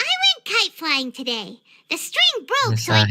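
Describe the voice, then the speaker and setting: A squeaky, high-pitched put-on character voice speaks at a fairly slow pace. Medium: game stream. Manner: bright, casual.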